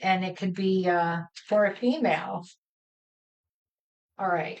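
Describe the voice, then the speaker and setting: This woman talks at a very slow pace in a medium pitch. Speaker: cardmaking instructor. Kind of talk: live crafting tutorial. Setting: live stream. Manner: mumbles to herself at times; casual, halting.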